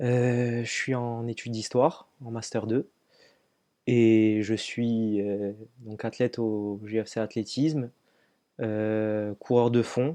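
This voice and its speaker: A man speaks in a dark, mellow tone at a very slow pace, with long, frequent pauses. The background is quiet. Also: medium pitch for a man, fairly even intonation. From southern France, Var (Brignoles). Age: 20s. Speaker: long-distance runner and trail athlete. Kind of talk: interview. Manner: hesitant, many fillers.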